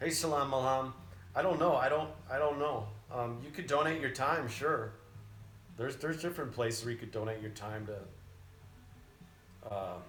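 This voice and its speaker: Speaking at a moderate pace with lively intonation, a man with an American accent and a medium-pitched voice is heard amid audible room echo. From Chicago. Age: 40s. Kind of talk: live stream Q&A. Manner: casual, conversational.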